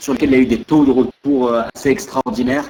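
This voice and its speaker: A man speaks at a very fast pace. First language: French. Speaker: interviewer and interpreter. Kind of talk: live interpretation. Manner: halting.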